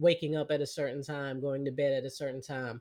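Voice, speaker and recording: Over a quiet background, a man speaks with a slight Southern US accent. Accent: slight rural Southern US twang. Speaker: habit strategist and podcaster. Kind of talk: interview conversation. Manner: repeats words when thinking.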